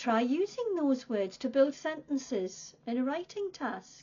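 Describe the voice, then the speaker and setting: Her pitch is high. The woman speaks at a very slow pace. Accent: British. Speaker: English teacher. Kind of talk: tutorial. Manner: slow, clear and repetitive for learners.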